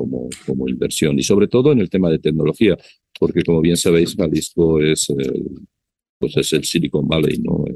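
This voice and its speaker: A man with a very deep, low pitch and a dark, mellow tone. His voice has vocal fry, ordinary pitch variation and a moderate pace. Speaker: business chamber representative. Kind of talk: interview. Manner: halting.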